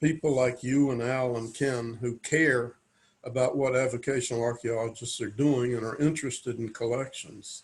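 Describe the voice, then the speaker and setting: Here a man talks at a moderate pace and medium pitch. His voice is somewhat breathy, with monotone, flat intonation. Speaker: avocational archaeologist. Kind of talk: interview.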